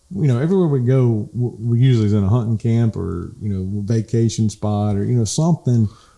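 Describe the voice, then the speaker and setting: With a Southern US accent, a man talks at a fairly quick pace with hardly any pauses, his dark, mellow tone at a medium pitch showing ordinary pitch variation, on a very clean recording with a silent background. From US South, South Georgia. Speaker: podcast co-host. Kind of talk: casual chat. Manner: animated.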